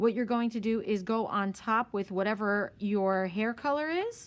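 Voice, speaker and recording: Captured in a very clean recording with a silent background, a woman uses lively intonation at a fairly high pitch. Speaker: art teacher. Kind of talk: tutorial. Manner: fast.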